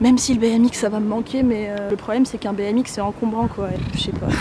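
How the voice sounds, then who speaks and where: A woman speaks at a very fast pace in a fairly high voice. Noticeable background noise runs behind her. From France. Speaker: vlogger on a working holiday. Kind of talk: casual vlog talking to camera. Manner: animated.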